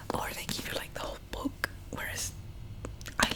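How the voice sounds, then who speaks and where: Moderate-paced whispering from a woman amid noticeable background noise. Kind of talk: ASMR book haul. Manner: whispered.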